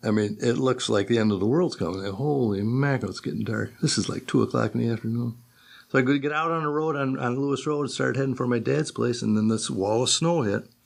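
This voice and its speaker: The recording of this man is very clean, with a silent background. His pitch varies in an ordinary way. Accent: Western New York. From western New York, Akron. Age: 70s. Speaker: retired machinist. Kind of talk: oral history interview. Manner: conversational storytelling, with many false starts.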